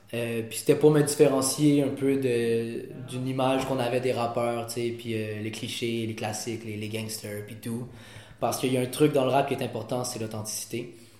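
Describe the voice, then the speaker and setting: A man with a medium pitch speaks at a moderate pace in a flat monotone, his loudness swinging widely, with noticeable background noise and audible room echo. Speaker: rapper. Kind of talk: interview.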